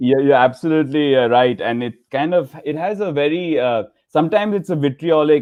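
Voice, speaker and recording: With a strong Indian accent, a man speaks at a moderate pace and a fairly high pitch, with ordinary pitch variation and hardly any pauses. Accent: Indian, thick. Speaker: laughter yoga leader. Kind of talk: interview. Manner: halting, many fillers.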